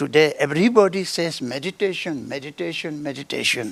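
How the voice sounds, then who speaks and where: A man with an Indian accent speaks at a fairly high pitch with vocal fry on a very clean recording with a silent background. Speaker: Bön lama. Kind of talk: spiritual talk. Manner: repetitive, checks understanding.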